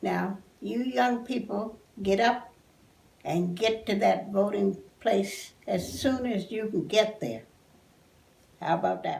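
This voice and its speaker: A woman talks very slowly with an American accent. Long, frequent pauses break up her speech. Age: 80s+. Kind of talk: interview answer.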